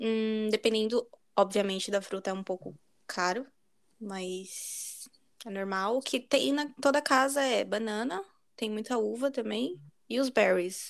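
In a very clean recording with a silent background, a woman with a fairly high pitch speaks at a fairly slow pace and ordinary pitch variation. She leaves long, frequent pauses. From Brazil. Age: 20s. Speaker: podcast co-host. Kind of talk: casual chat.

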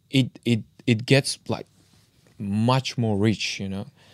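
With an Uzbek accent, a man speaks very slowly at a medium pitch. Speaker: podcast co-host. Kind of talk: casual interview.

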